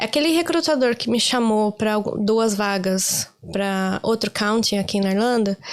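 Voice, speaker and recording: A woman speaking at a fairly slow pace, her loudness very even, against noticeable background noise. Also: fairly high pitch for a woman, ordinary pitch variation. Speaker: career-change interviewee, office worker in Ireland. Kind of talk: casual interview chat.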